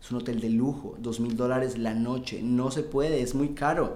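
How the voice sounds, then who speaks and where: An unremarkable speaking voice at a moderate pace. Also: man. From Colombia. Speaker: sales expert. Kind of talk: casual interview chat.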